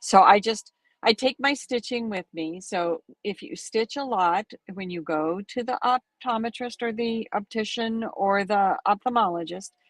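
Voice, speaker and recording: A woman speaks in an ordinary speaking voice, fairly high in pitch, with ordinary pitch variation and big swings in loudness. The sound is dry and close with no echo, over a quiet background. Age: 60s. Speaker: needlework shop owner and stitch-along host. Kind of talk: casual chat on livestream.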